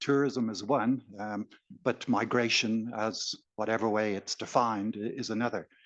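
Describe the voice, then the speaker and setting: At a fairly slow pace, a man with an Irish accent speaks at medium pitch with fairly even intonation against a quiet background. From Ireland. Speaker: audience member. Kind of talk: audience question. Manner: halting.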